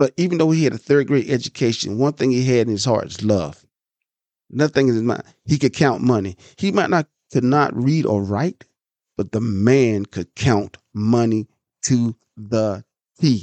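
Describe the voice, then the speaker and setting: Dark and mellow in tone, a man speaks at a medium pitch and moderate pace, with lively intonation and long, frequent pauses. The sound is dry and close with no echo, over a quiet background. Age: 50s. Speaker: podcast host. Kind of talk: casual monologue.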